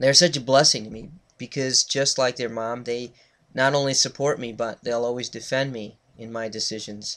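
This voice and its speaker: On a very clean recording with a silent background, a man with an American accent speaks at a moderate pace. He has a normal speaking voice and fairly even intonation. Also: medium pitch for a man, big swings in loudness. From Connecticut. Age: 30s. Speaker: student and reverend. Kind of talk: class speech. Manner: formal.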